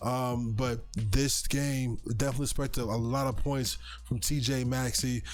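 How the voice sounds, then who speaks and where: Music plays in the background and audible room echo surrounds a man speaking at a medium pitch. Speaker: sports betting show host. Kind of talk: sports betting picks talk. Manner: halting, stutters at times.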